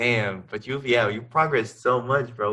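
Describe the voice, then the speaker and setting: A man with a non-native accent, fairly quick pace and bright, sharp tone. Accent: foreign. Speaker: podcast host, art teacher. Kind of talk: casual interview chat.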